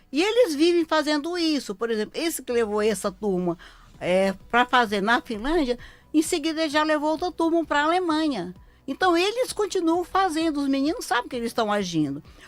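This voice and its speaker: Music plays in the background. The voice moves at a moderate pace with very wide pitch swings. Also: woman, high pitch for a woman. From Ceará, Brazil. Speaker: lawyer. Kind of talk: live radio interview. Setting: radio studio.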